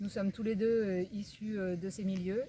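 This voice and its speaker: A woman with an ordinary speaking voice talks at a medium pitch with fairly even intonation. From Limousin, France. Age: 40s. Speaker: teacher and local election candidate. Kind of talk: campaign presentation.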